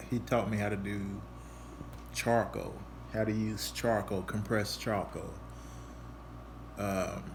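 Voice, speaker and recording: A man's fairly low voice at a fairly slow pace, with ordinary pitch variation and audible room echo. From Louisville, Kentucky. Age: 40s. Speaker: artist. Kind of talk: casual presentation. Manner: halting, many fillers.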